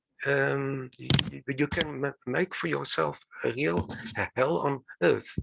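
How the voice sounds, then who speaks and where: A man with vocal fry speaks very slowly at a fairly high pitch, his intonation lively. The sound is dry and close with no echo, over a quiet background. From South Africa. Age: 70s. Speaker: retired lawyer and author who stutters. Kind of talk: podcast interview conversation. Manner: stuttering, repetitions.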